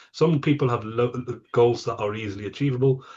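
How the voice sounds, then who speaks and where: A man with medium pitch sounds somewhat breathy, with ordinary pitch variation. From England. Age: 50s. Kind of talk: interview. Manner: halting, many repetitions.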